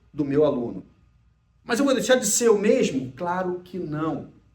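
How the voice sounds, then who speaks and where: A man with a Brazilian accent speaks at a high pitch with lively intonation. Audible room echo is present. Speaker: emotional intelligence speaker and mentor. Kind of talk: recorded lecture.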